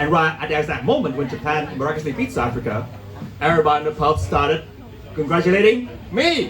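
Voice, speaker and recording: A man talks at a very fast pace with a fairly high pitch and lively intonation. Noticeable background noise and audible room echo surround him. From Vietnam. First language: Vietnamese. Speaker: stand-up comedian. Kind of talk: stand-up. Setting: stage with audience.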